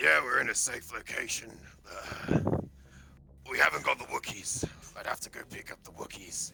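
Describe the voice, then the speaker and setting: Using a raspy, put-on character voice, a man speaks at a moderate pace with long, frequent pauses. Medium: actual play.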